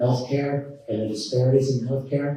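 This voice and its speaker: Audible room echo surrounds a man whose medium-pitched, somewhat breathy voice has a dark, mellow tone and monotone, flat intonation. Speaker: professor and author. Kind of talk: lecture. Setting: stage with audience.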